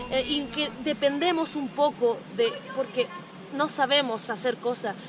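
Against noticeable background noise, a woman with a high pitch speaks at a fairly slow pace with ordinary pitch variation. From Canary Islands, Spain. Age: 30s. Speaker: touring cyclist and feminist blogger. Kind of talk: interview.

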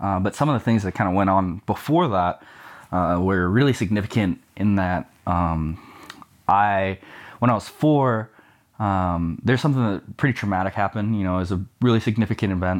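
A man with an American accent has an ordinary speaking voice at a fairly low pitch with ordinary pitch variation. The recording is very clean, with a silent background. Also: moderate pace. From Texas, Sugar Land near Houston. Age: 20s. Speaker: college ministry staff member. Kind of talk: testimony. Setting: at home.

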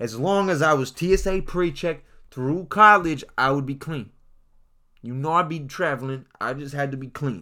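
Speaking at a moderate pace with an American accent, this animated voice has a bright, sharp tone, ordinary pitch variation and big swings in loudness, captured in a very clean recording against a silent background. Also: man, fairly high pitch for a man. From Washington State, US. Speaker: podcast host, college student. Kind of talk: casual storytelling monologue. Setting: home studio.

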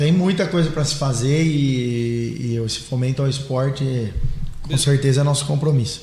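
A fairly high-pitched man talks at a moderate pace, his intonation fairly even, with audible room echo and noticeable background noise around him. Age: 30s. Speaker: mayor-elect, businessman. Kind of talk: casual interview. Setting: live podcast studio.

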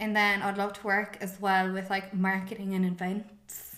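A woman with a Cork accent, with audible room echo. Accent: Cork Irish. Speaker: podcast co-host. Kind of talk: casual chat. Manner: animated.

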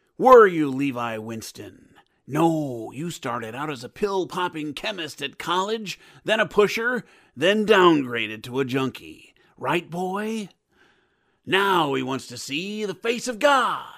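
Over a silent background in a very clean recording, a man speaks at a fairly slow pace and high pitch. His pitch swings very widely, and his loudness swings a lot too. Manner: calm, sermonizing, menacing.

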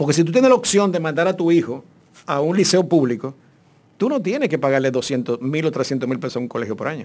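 This man has a plain, everyday voice with a fairly high pitch. He talks at a fairly quick pace with lively intonation. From Dominican Republic, Santo Domingo. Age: 50s. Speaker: actor. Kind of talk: casual chat.

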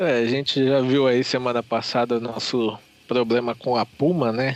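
A man with an unremarkable speaking voice talks at medium pitch and a fairly slow pace. The sound is dry and close with no echo. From Brazil. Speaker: fan site editor. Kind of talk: casual chat. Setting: virtual recording session.

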